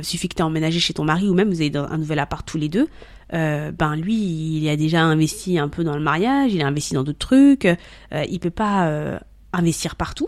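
With an ordinary speaking voice, a woman speaks at a fairly quick pace, her pitch fairly low and her pitch variation ordinary. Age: 30s. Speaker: content creator on love and marriage. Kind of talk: casual chat.

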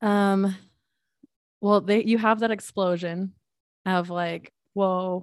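A woman at a very slow pace. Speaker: photographer. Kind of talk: casual conversation.

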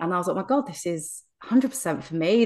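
Over a quiet background, the speaker talks with an English accent. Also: woman. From England. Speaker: hypnotherapist. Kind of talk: interview conversation.

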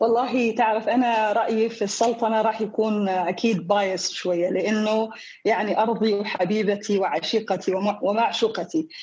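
At a moderate pace, a woman with a fairly high pitch and a normal speaking voice talks with fairly even intonation and very even loudness. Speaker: entrepreneur. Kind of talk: interview.

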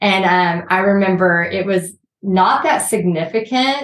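Spoken with an American accent, it is a plain, everyday voice with ordinary pitch variation. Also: woman. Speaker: art business owner, former teacher. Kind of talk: casual interview.

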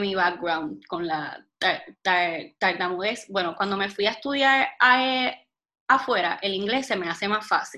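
A woman with a Puerto Rican accent speaks at a fairly slow pace with ordinary pitch variation. Her tone is bright and sharp, and her pitch is fairly high. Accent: Puerto Rican Spanish with Spanglish. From Puerto Rico. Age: 20s. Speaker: health and wellness blogger. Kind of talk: casual interview chat.

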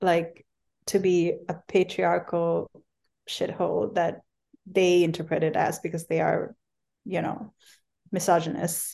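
The voice has a dark, mellow tone and a flat, monotone intonation. It moves at a fairly slow pace. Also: woman. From Bangladesh. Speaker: travel writer and humanitarian worker. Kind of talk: interview conversation.

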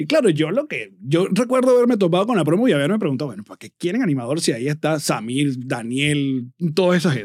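A man's fairly high voice at a very fast pace, hardly any pauses, very wide pitch swings and big swings in loudness. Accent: Venezuelan. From Venezuela. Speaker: comedian and radio host. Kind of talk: casual interview chat.

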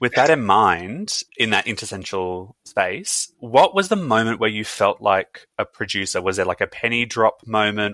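In an Australian accent, a man speaks at a moderate pace with a bright, sharp tone, recorded very cleanly with a silent background and a dry, close sound free of echo. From Brisbane, Australia. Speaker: podcast host. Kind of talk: interview.

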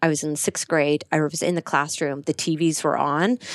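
With an Irish accent, a woman speaks at a very deep, low pitch and fairly even intonation. The sound is dry and close with no echo, on a very clean recording with a silent background. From Ireland, County Kerry. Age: 30s. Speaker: corporate lawyer and entrepreneur. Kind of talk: casual interview chat.

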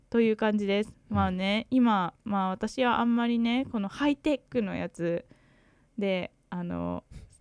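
Captured as a very clean recording with a silent background and a dry, close sound with no echo, a woman uses an ordinary speaking voice at a fairly slow pace, with a medium pitch and ordinary pitch variation. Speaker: podcast co-host, English learner. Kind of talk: casual chat.

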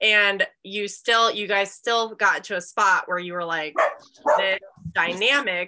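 Speaking at a very slow pace, a woman with a bright, sharp tone and medium pitch uses ordinary pitch variation. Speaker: marriage and relationship coach, podcast host. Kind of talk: casual conversational interview. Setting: live online group stream. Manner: animated.

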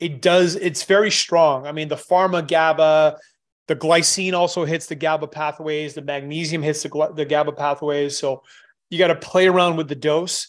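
In a normal speaking voice, the speaker talks at a moderate pace with fairly even intonation against a quiet background. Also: man, fairly high pitch for a man. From Canada. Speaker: supplement formulator and strength coach. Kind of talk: podcast interview.

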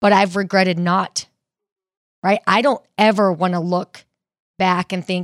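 Dry and close with no echo, this is a woman with an ordinary speaking voice. She talks at a fairly slow pace with medium pitch and fairly even intonation. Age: 30s. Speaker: personal trainer. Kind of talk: casual interview.

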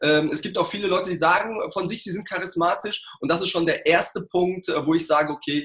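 A man speaks with a high-pitched, energetic voice. His pace is moderate, with hardly any pauses. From Ruhr area, Germany. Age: 40s. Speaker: sales trainer and coach. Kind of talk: interview.

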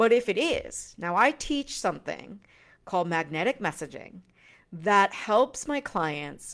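A woman with a medium pitch and an upbeat tone speaks at a fairly slow pace, her pitch swinging very widely. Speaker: business coach and podcast host. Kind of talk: solo podcast monologue, sales pitch for her course bundle. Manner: casual and upbeat, laughs often.

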